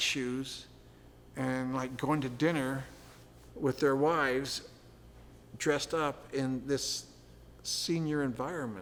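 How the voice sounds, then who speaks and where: Speaking at a very slow pace, a man talks in a fairly high pitch. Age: 70s. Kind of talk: oral history interview. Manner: halting, many false starts.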